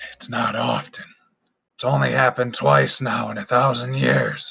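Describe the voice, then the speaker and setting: A raspy, put-on character voice speaks at a moderate pace. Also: man. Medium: actual play. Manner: casual, rambling, halting.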